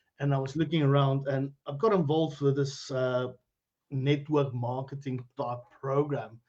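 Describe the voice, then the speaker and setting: A man speaks with a South African accent. His voice is fairly high and somewhat breathy. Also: fairly even intonation, moderate pace. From South Africa, Limpopo (Phalaborwa). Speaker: cryptocurrency educator. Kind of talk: interview on Facebook live stream. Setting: live video stream.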